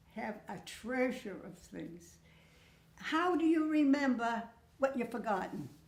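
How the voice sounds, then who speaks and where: Amid audible room echo, a woman with an American accent speaks at a very slow pace with lively intonation. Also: long, frequent pauses. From Massachusetts (Lawrence, Merrimack Valley). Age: 80s+. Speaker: interviewee recounting family memories. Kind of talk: casual storytelling interview. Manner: halting, with false starts.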